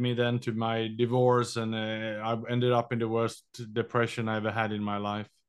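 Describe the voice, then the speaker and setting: With a Swedish accent, a man talks at a medium pitch and moderate pace with monotone, flat intonation. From Sweden. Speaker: entrepreneur and endurance athlete. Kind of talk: casual interview chat.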